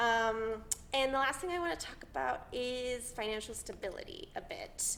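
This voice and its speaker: With audible room echo, a woman speaks at a high pitch and a moderate pace. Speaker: actor, theatre school alumna. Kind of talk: panel talk to students. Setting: audience in a theatre department room. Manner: filler-heavy, halting.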